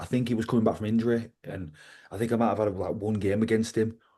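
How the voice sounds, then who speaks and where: A man with a Yorkshire accent talks at a very fast pace. His medium-pitched voice has a dark, mellow tone against a quiet background. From West Yorkshire, England (Liversedge). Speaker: professional wrestler, ex-rugby league player. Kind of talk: casual interview chat.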